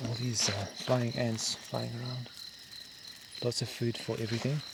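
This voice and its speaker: Over noticeable background noise and audible room echo, a man speaks at a moderate pace in a medium pitch with monotone, flat intonation. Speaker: bushcraft vlogger. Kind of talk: solo outdoor vlog narration. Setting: outdoors at night in the bush. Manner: soft-spoken.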